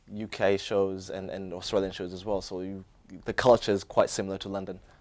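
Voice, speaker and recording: The speech comes at a fairly quick pace with a British accent and monotone, flat intonation. Loudness swings widely in a very clean recording with a silent background. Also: man, fairly low pitch for a man. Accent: British-sounding English. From Kenya (Nairobi). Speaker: student interviewee. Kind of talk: interview. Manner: halting, many fillers and restarts.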